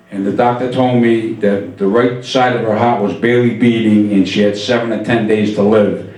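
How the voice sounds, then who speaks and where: A medium-pitched man with an American accent at a moderate pace, with audible room echo and noticeable background noise. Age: 60s. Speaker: stand-up comedian. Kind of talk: stand-up. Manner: animated.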